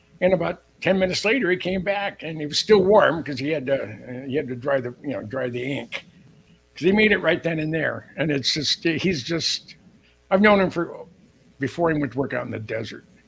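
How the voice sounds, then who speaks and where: This man's voice sits fairly high and moves at a fairly quick pace. His intonation is lively, with noticeable background noise behind him. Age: 70s. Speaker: military historian and author. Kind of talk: live show interview.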